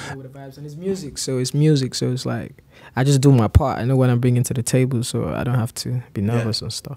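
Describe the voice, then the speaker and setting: Speaking very quickly, a man lets his volume rise and fall sharply. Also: ordinary pitch variation. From Nigeria. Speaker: singer. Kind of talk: interview answer. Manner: calm, relaxed. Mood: relaxed, laid-back.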